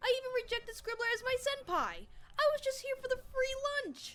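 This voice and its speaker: Using a put-on character voice, the speaker talks at a fairly quick pace in an extremely high pitch that is squeaky and shrill. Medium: audio drama.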